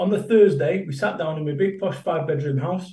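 With a Mancunian accent, a man speaks at a fairly quick pace in a somewhat breathy, dark, mellow tone, his pitch varying in an ordinary way. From Manchester, England. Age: 50s. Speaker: motivational business speaker. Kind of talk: casual interview chat. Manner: animated, emphatic.

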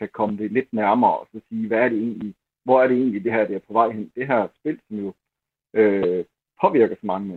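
Pitched fairly low, a man speaks at a moderate pace with ordinary pitch variation. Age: 50s. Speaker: newspaper columnist, football fan. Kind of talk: interview. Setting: phone call.

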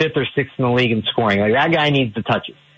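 A plain, everyday voice from a man with an American accent, medium pitch and ordinary pitch variation. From Ohio (Tallmadge). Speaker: sports journalist. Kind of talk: radio sports interview.

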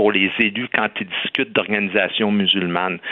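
A man keeps a moderate pace while noticeable noise sounds in the background. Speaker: comedian and commentator. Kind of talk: radio debate.

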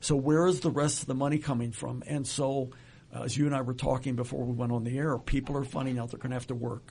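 A man's somewhat breathy voice, dark and mellow, at a medium pitch, very fast and flat in monotone intonation. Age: 70s. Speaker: retirement planning expert. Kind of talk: casual interview. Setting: studio.

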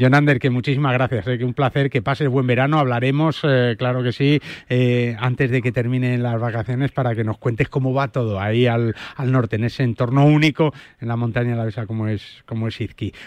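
A man's medium-pitched, an ordinary speaking voice, moving at a fairly quick pace. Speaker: golf radio host. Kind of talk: sports radio show.

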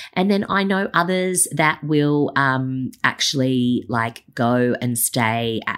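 In an Australian accent, a woman speaks at a very deep, low pitch with lively intonation. The recording is very clean, with a silent background. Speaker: business coach podcast host. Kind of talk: solo podcast monologue. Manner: many fillers and restarts.

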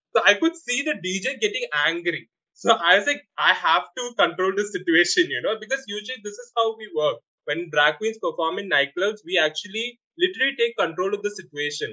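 In a Keralan accent, the speaker moves at a fairly quick pace with lively intonation. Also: man, high pitch for a man. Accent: Malayali-accented Indian English. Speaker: drag performer. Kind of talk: casual interview.

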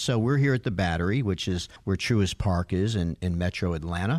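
Lively intonation and a fairly quick pace come from a man with an unremarkable speaking voice, on a very clean recording with a silent background. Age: 60s. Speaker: lawyer. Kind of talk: casual chat.

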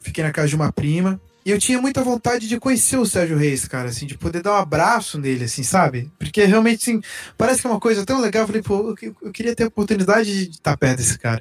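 Here a man talks at a very fast pace. His high pitch swings very widely. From Blumenau, Santa Catarina, Brazil. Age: 20s. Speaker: singer-songwriter. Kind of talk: casual interview chat.

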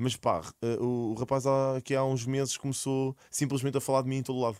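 A man speaks fairly quickly in a normal speaking voice at a medium pitch. The sound is dry and close with no echo, on a very clean recording with a silent background. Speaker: streamer and content creator. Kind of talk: casual chat.

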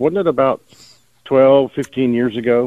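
This is a man talking. He has a Texas accent. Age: 50s. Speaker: caller. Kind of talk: casual chat.

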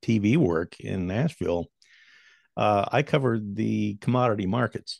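A man with an American accent has a fairly low pitch, ordinary pitch variation and an unremarkable speaking voice. The sound is dry and close with no echo, over a quiet background. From US Great Plains. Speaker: commodities broadcaster and former farmer. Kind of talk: casual interview conversation. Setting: home studio, remote call.

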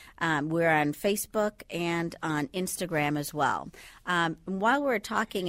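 In a very clean recording with a silent background and a dry, close sound with no echo, a woman with a slight Bahamian accent talks at a moderate pace with ordinary pitch variation. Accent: faint Bahamian. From Bahamas. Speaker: sleep medicine doctor. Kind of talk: radio interview.

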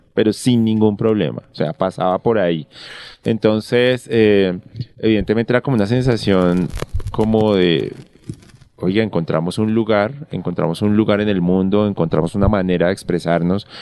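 A man's fairly low, dark, mellow voice at a moderate pace, with ordinary pitch variation and very even loudness. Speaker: novelist and screenwriter. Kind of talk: casual interview chat. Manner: halting, many fillers.

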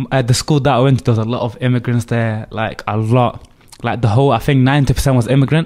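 A man talks at a fairly quick pace. His voice is medium in pitch, with fairly even intonation. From Mombasa, Kenya, then London. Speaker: immigrant designer. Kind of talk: interview. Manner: casual, hesitant.

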